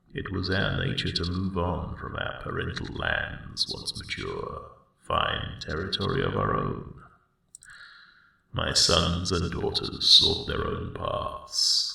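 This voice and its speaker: A man uses a put-on character voice, soft-spoken and gravelly. He goes at a fairly slow pace with a slight echo. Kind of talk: ASMR roleplay. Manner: soft-spoken, soothing.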